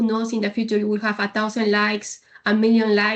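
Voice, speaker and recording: A woman with a slight Spanish accent, fairly high in pitch, talking very fast in a flat monotone. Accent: slight Spanish accent, very fluent. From Peru. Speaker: logistics leader. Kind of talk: podcast interview. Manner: confident.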